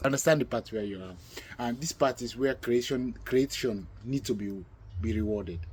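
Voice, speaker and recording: A man speaks at a moderate pace and medium pitch, somewhat breathy, with ordinary pitch variation and big swings in loudness. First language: not English, multilingual (Ukrainian, Russian). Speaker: talk show host. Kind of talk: casual conversation. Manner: halting, self-correcting.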